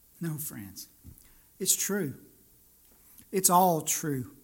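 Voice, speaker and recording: A man's voice shows ordinary pitch variation, with audible room echo around it. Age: 40s. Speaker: pastor. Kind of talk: sermon.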